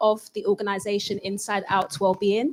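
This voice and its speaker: A woman speaks in a London accent. Her pitch is fairly high and her tone bright and sharp. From East London, Newham (Ghanaian heritage). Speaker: psychotherapist. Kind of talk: panel discussion.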